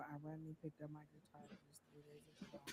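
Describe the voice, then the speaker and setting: A woman talks at a very fast pace. The recording is very clean, with a silent background. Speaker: psychic tarot reader. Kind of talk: live tarot reading. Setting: livestream.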